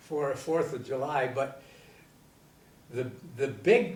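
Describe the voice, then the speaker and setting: A man speaks with an American accent and ordinary pitch variation. Audible room echo surrounds his voice. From US Midwest, Michigan Upper Peninsula. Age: 80s+. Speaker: navy veteran. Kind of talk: interview. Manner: halting.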